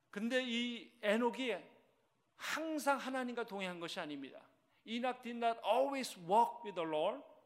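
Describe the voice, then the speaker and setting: A man speaks at a very slow pace with an extremely high pitch and lively intonation, and audible room echo surrounds him. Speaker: senior pastor. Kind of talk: sermon. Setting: church service.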